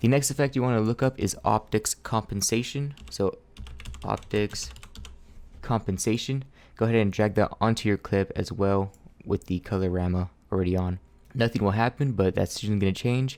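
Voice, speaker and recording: Recorded very cleanly against a silent background, a man speaks at a fairly low pitch with ordinary pitch variation and very even loudness. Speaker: video editing tutorial creator. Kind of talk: tutorial. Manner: fast; casual, some hesitations.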